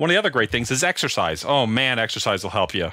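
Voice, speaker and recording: The speaker talks at a very fast pace with an American accent and a bright, sharp tone. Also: man. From Minnesota. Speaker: electronic music producer. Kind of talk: casual chat.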